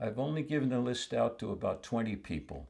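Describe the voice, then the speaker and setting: Lively intonation and vocal fry mark this man's speech. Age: 80s+. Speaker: film enthusiast. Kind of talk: interview monologue. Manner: halting, frequent restarts and filler words.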